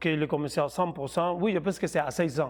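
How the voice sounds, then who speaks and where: On a very clean recording with a silent background, a man speaks with fairly even intonation. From Colombia. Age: 30s. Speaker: professional boxer. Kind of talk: interview. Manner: halting.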